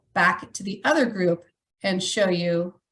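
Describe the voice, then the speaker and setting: A woman's medium-pitched, a plain, everyday voice with ordinary pitch variation. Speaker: educational technology staff presenter. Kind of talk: webinar tutorial demonstration.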